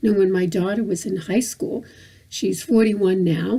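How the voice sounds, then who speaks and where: At a moderate pace, a woman speaks at medium pitch with ordinary pitch variation. Her dark, mellow tone carries vocal fry. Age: 60s. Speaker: vlogger. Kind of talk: personal vlog monologue. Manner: halting, many repetitions and fillers.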